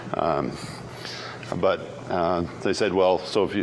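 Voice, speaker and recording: A man with an American accent speaks in a very deep, low voice. The room echoes audibly, and background noise is noticeable. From Canada. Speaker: keynote speaker, software engineer. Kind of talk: conference keynote talk. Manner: fast.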